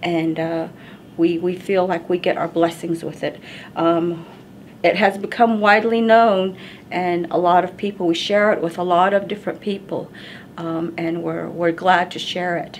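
Her voice is fairly low and monotone, flat in intonation, with an American accent. The woman keeps a moderate pace over light background noise. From Navajo reservation, Arizona. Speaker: cultural educator. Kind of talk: educational talk to camera. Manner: hesitant, many fillers. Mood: calm, warm, unhurried. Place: home room.

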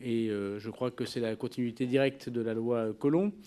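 A man's dark, mellow tone at a fairly slow pace. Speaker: government minister at a hearing. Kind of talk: formal hearing statement. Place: hall. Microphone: podium.

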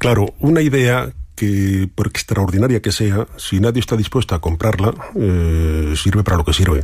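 Lively intonation marks a man's somewhat breathy voice. His loudness stays very even at a moderate pace. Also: fairly low pitch for a man. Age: 50s. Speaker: coach and entrepreneur. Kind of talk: radio interview.

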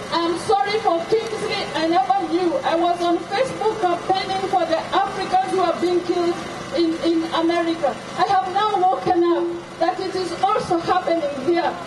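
Over noticeable background noise, a man with an extremely high pitch speaks at a moderate pace with fairly even intonation. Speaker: protest speaker. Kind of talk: protest speech. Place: street.

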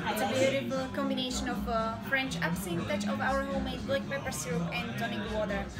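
Loud music plays in the background as a woman talks at a fairly quick pace. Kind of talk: presenting a drink to a guest. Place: bar. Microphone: phone near.

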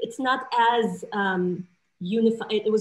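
Somewhat breathy woman's voice with ordinary pitch variation. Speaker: panelist. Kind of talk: interview answer. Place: home room. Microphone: video call.

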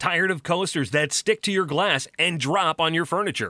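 An energetic man speaks at a moderate pace, with a dry sound, no echo, and a quiet background. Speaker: voice actor. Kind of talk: infomercial pitch read. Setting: studio. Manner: over-the-top, energetic. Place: studio. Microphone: studio mic.

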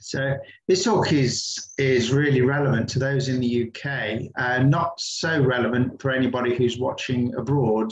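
The voice moves at a moderate pace with fairly even intonation. Audible room echo fills the recording. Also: man. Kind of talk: online presentation talk. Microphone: video call.

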